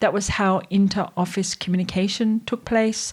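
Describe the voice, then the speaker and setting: Speaking at a moderate pace, a woman with an Australian accent sounds somewhat breathy at a medium pitch, in a very clean recording with a silent background. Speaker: AI strategist and educator. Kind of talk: tutorial. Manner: conversational.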